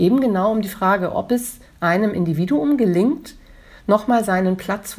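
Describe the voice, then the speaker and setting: A woman's somewhat breathy voice with a dark, mellow tone, medium in pitch, at a fairly slow pace with lively intonation. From northern Germany, near Hamburg. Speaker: museum director and historian. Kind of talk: interview. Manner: formal.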